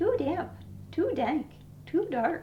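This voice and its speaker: A squeaky, high-pitched put-on character voice comes through clear background noise. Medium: read story.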